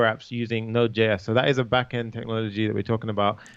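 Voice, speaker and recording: Here is a man with a British accent and medium pitch. He speaks at a very fast pace. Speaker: coding instructor. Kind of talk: tutorial. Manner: casual, conversational.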